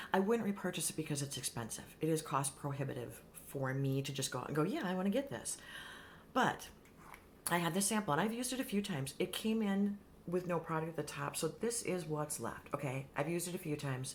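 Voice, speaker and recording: A woman talks at a very fast pace with lively intonation. Her voice is fairly low in pitch and somewhat breathy. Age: 50s. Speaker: beauty vlogger. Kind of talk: casual vlog chat. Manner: animated.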